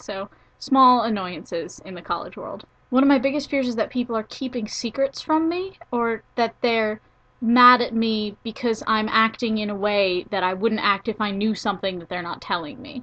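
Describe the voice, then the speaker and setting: This woman has an unremarkable speaking voice, fairly high in pitch, with ordinary pitch variation. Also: moderate pace. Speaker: college student. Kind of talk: casual talk to camera.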